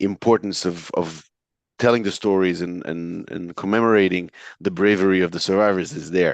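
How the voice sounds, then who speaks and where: A man with an Israeli accent speaks at a very deep, low pitch and a moderate pace. His intonation is fairly even, and the background is quiet. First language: Hebrew. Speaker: entrepreneur and author. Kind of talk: interview. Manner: hesitant with fillers.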